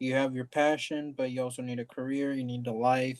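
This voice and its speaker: Monotone, flat delivery from a man at a medium pitch. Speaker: podcast host. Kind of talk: casual chat.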